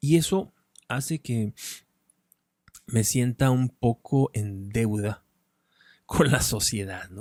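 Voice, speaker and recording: Mumbling at a very slow pace with long, frequent pauses, a man with a medium-pitched voice and ordinary pitch variation shifts sharply in loudness, on a very clean recording with a silent background and dry, close sound with no echo. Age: 40s. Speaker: philosophy content creator, writer and speaker. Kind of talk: unscripted monologue. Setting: in front of a camera. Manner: mumbling, swallows words.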